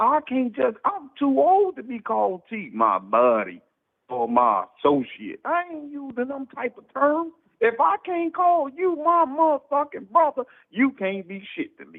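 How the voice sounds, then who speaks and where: Animated in tone, a man talks at a fairly slow pace with big swings in loudness. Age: 40s. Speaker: caller. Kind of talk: call-in opinion rant.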